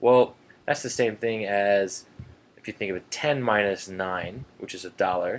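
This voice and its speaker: With an ordinary speaking voice, a man talks at a fairly low pitch with ordinary pitch variation and big swings in loudness. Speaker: math teacher. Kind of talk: tutorial.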